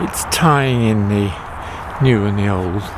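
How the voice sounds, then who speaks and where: There is noticeable background noise as a man speaks at a fairly low pitch. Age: old. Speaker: home gardener vlogger. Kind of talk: casual garden tour video. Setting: outdoors in garden. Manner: hesitant, with many fillers.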